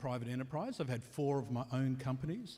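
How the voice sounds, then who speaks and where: Medium-pitched male voice with fairly even intonation and a strong Australian accent. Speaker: panel moderator. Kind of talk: panel discussion.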